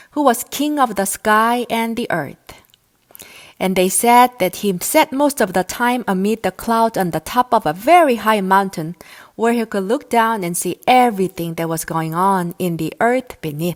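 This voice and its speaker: A woman with an American accent speaks at a moderate pace in a medium pitch with lively intonation, an unremarkable speaking voice. The recording is very clean with a silent background, and the sound is dry and close with no echo. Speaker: English teacher. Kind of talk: audiobook reading of myths.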